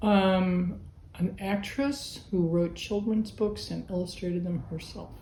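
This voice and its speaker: Audible room echo surrounds a woman with an American accent who speaks fairly slowly at a medium pitch with ordinary pitch variation. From Berkeley, California, US. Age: 60s. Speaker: artist. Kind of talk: interview answers.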